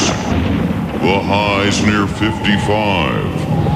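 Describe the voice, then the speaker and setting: A man's voice under loud background noise. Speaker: radio comedy performer. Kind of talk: comedic radio weather bit. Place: studio.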